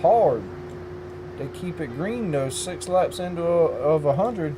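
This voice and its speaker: Fairly high in pitch, a man talks at a fairly slow pace with lively intonation. Room echo is audible and there is noticeable background noise. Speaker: sim racing commentator. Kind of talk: live commentary. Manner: loud.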